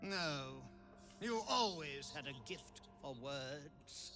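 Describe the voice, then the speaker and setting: Putting on a character voice, a man talks at a very slow pace in a fairly high pitch, with clear background noise behind him. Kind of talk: theatrical villain. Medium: video game. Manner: imperious, disdainful.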